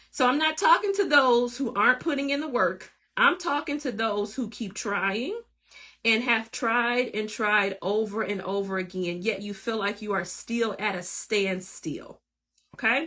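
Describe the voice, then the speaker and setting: Her tone bright and sharp, a woman speaks at a fairly slow pace with a fairly high pitch and lively intonation. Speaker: career coach podcaster. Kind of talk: motivational monologue. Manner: conversational.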